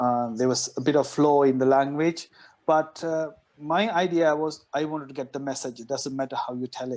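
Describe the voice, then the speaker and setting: Using a non-native accent, a man talks at a moderate pace with a fairly high pitch and fairly even intonation. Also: very clean recording, silent background. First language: not English. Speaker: doctor and author, guest. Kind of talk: podcast interview.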